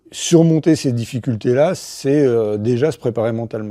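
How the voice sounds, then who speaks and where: A man's medium-pitched, dark, mellow voice at a fairly slow pace against a quiet background. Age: 50s. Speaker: ultra-trail runner. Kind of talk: interview testimony. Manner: hesitant, many fillers.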